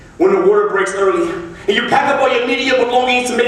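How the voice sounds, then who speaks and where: A man's high voice with ordinary pitch variation, over noticeable background noise. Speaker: slam poet. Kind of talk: spoken word poetry performance. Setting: live stage with audience.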